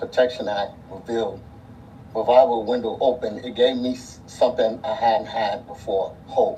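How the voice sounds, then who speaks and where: A man talks at a moderate pace with a medium pitch and ordinary pitch variation, with audible room echo and noticeable background noise. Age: 60s. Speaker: abuse survivor giving testimony. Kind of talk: testimony. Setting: city council hearing.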